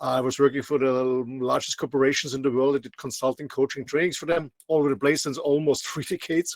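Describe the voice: A man talks at a fast pace in an Austrian accent. His pitch shows little movement. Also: medium pitch for a man.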